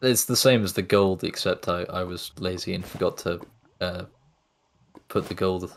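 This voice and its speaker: In a British accent, a man with a very deep, low pitch speaks at a moderate pace with fairly even intonation and long, frequent pauses. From UK. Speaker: map creator. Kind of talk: casual chat. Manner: hesitant, many fillers.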